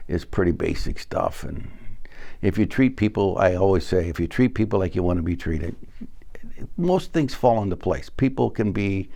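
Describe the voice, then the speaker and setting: The voice has a dark, mellow tone with vocal fry, moving at a moderate pace with lively intonation. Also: man. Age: 70s. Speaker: fire sprinkler company executive. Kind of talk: interview. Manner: halting.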